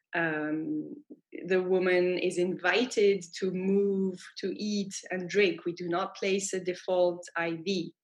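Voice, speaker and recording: The speaker has a French accent. The intonation stays monotone and flat. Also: woman. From France. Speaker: midwife. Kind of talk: interview.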